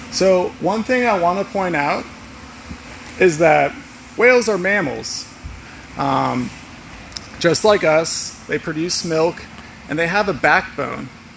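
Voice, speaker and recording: There is noticeable background noise as a man speaks at a very slow pace with long, frequent pauses. His voice is high, with ordinary pitch variation. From US South (Georgia, near Atlanta). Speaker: wildlife conservation educator. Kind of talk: live educational walkthrough. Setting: inside an inflatable whale, livestream. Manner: animated.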